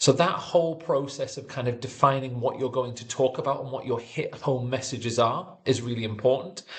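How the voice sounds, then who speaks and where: A man speaks in a Geordie accent with ordinary pitch variation. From northern England, Newcastle area. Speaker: sports physiotherapy educator. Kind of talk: online tutorial. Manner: fast; few pauses.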